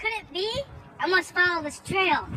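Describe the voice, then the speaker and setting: Over clear background noise, someone uses a put-on character voice with an extremely high pitch at a moderate pace. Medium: stage play.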